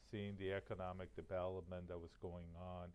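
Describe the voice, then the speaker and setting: Speaking with a Spanish accent, a man has a very deep, low pitch. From Miami, Florida (born in Cuba). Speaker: college president. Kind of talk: interview. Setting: on location at the college.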